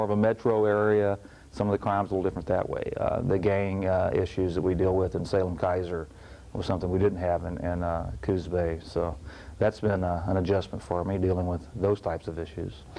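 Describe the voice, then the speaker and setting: At a fairly quick pace, a man talks with a slight Texas accent. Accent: slight Texas twang. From Texas, Houston. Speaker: police chief. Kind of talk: interview. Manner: hesitant, many fillers.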